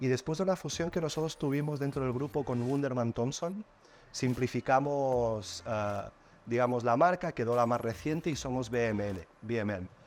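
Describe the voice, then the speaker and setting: This man speaks with lively intonation and a medium pitch, keeping a moderate pace. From Catalonia, Spain. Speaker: advertising agency executive. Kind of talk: podcast interview. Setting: studio.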